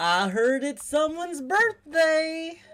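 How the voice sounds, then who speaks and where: A woman speaks loudly in a put-on character voice at a fairly slow pace. Her pitch is extremely high. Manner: goofy, boisterous, loud.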